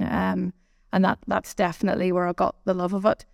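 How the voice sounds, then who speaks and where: Woman's medium-pitched voice with a Belfast accent, dry and close with no echo, on a very clean recording with a silent background. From Northern Ireland, Belfast. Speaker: business owner. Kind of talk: interview.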